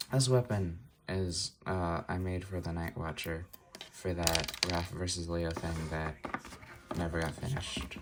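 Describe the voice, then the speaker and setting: Over noticeable background noise, a man with a very deep, low pitch talks at a fairly slow pace with ordinary pitch variation. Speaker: stop-motion animator and video creator. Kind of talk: casual tutorial. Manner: casual, halting with fillers.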